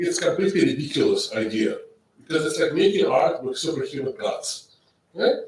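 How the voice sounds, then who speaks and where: The speech moves at a fairly quick pace, with audible room echo. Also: man. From Russia. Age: 60s. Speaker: professor. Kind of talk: lecture.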